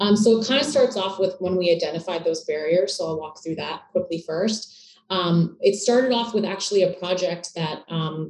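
Over noticeable background noise, a woman speaks at medium pitch and a fairly quick pace. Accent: Canadian. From Canada, Toronto. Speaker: startup co-founder. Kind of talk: interview.

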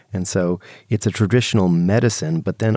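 Here a man speaks with a very deep, low pitch and a dark, mellow tone. The sound is dry and close, with no echo. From Canada. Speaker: drug science radio show co-host. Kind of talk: educational radio discussion.

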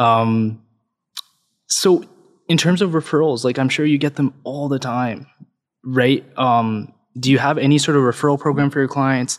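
With a Canadian accent, a man with a fairly high pitch talks at a moderate pace and fairly even intonation, leaving long, frequent pauses, on a very clean recording with a silent background. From Canada (Alberta), Punjabi heritage. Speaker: realtor, podcast co-host. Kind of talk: interview.

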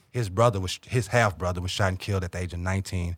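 Very fast and somewhat breathy, the voice has fairly even intonation on a very clean recording with a silent background. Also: man. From St. Louis, Missouri, US. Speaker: opinion writer and author. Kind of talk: podcast interview. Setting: studio.

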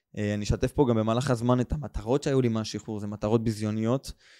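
A man with a dark, mellow tone and medium pitch speaks at a fairly quick pace in a monotone, flat intonation, dry and close with no echo on a very clean recording against a silent background. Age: 20s. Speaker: podcast host and studio owner. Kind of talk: casual monologue. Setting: studio. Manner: casual, unscripted free flow.

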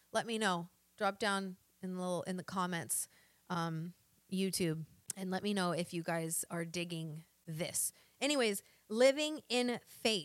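In a very clean recording with a silent background, a woman with an American accent speaks in an animated tone with lively intonation. Her pace is fairly slow, with long, frequent pauses. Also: medium pitch for a woman. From US South, Arkansas. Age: 40s. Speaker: podcast host and online health coach. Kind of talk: motivational monologue.

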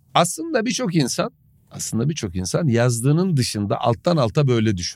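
At a moderate pace, a man talks in a medium pitch with very wide pitch swings. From Turkey, Samsun. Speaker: football pundit. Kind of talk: casual chat.

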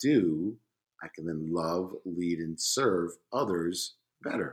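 The speech moves at a fairly slow pace. It comes in an American accent. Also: man. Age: 50s. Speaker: podcast guest, former Spanish teacher. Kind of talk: casual chat.

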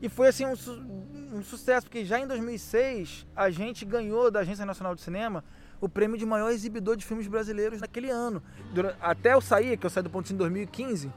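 Talking at a fairly quick pace, a man with a high pitch uses ordinary pitch variation. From Rio de Janeiro, Brazil (Guadalupe). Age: 40s. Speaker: community cinema founder. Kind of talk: casual interview.

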